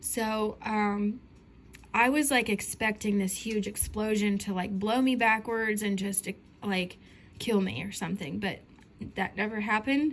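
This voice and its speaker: A woman with an American accent speaks at a fairly slow pace in a fairly high, somewhat breathy voice. Her intonation stays fairly even. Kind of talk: casual dream testimony. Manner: hesitant, many fillers.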